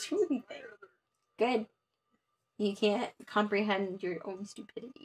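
With a playful tone, a woman talks at a fairly slow pace and a fairly high pitch, her voice somewhat breathy. Her pitch varies in an ordinary way, and she leaves long, frequent pauses. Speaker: board game player. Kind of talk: live board game play. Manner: playful, laughs often. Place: home room.

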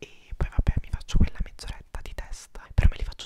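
Over light background noise, a man whispers in an intense tone, the sound dry with no echo. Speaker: vlogger. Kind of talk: casual vlog chat. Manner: intense close-mic whisper. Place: home room. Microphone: lapel.

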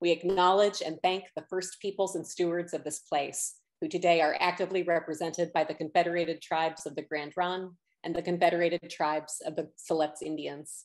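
A woman's fairly low voice, fairly quick and monotone with flat intonation, in a quiet background. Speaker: executive director of an arts center. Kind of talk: event welcome and introduction. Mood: warm, welcoming. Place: home room. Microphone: webcam.

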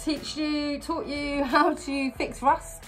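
A woman is speaking. Faint music is in the background. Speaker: van conversion vlogger. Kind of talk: casual vlog chat. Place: bus. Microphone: phone near.

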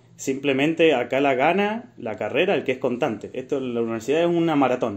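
With ordinary pitch variation, a plain, everyday voice keeps up a fairly quick pace. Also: man, hardly any pauses. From Argentina, Mendoza. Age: 20s. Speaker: civil engineer. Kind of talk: casual interview chat.

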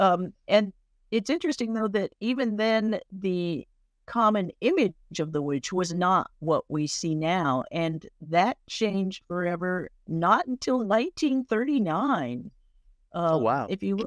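The voice moves very slowly through very wide pitch swings. The sound is dry with no echo, over a quiet background. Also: woman. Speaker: presenter. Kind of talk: informal history talk. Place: home room. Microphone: webcam.

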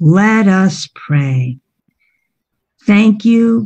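In a quiet setting, a woman speaks in a dark, mellow, somewhat breathy voice with a solemn, dramatic tone. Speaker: Bible storyteller. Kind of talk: dramatic narration of a Bible story, felt-board storytelling with a prayer at the end. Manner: solemn, dramatic, reverent. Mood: gentle, reverent. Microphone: video call.

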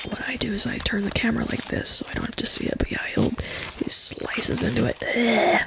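A woman whispers in a calm tone. Noticeable background noise sits behind her. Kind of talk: casual gameplay commentary. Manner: soft-spoken, calm.

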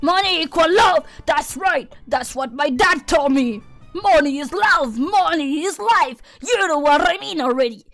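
A woman uses a put-on character voice at a moderate pace while faint music plays in the background. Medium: virtual streamer. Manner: brash, blunt, grumpy.

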